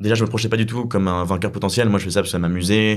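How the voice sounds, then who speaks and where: Very fast and with fairly even intonation, a man delivers his lines. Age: 20s. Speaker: eloquence competitor and student. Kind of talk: casual chat.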